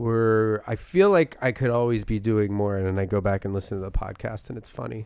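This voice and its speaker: A man with a slight Philadelphia accent on a very clean recording with a silent background. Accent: light Philadelphia. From Philadelphia area, US. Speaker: comedy podcast co-host. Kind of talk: casual chat. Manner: animated.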